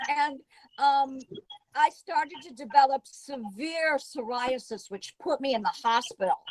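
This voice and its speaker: In a dry, close sound with no echo, a woman speaks at a fairly slow pace in a high pitch. Her intonation is lively and her loudness swings widely. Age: 60s. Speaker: viewer calling in for a reading. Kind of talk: casual chat. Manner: halting.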